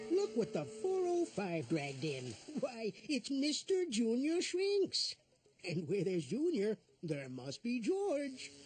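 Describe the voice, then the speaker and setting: In a cartoonish character voice, someone speaks at a fairly high pitch and a fairly slow pace. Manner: warm, jovial, chuckling.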